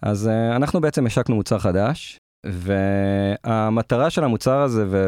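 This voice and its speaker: The voice has a dark, mellow tone and ordinary pitch variation at a fairly slow pace. The sound is dry and close, with no echo. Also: man. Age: 30s. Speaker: product manager. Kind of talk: interview.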